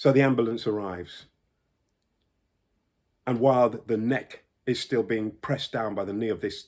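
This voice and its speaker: A man with a London accent talks at a moderate pace and medium pitch, leaving long, frequent pauses. The recording is very clean, with a silent background. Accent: British English, London. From United Kingdom. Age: 60s. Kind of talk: personal testimony to camera.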